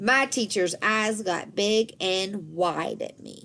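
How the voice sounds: A woman talks at a slow pace with vocal fry. Her tone is fairly bright and her intonation lively. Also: medium pitch for a woman.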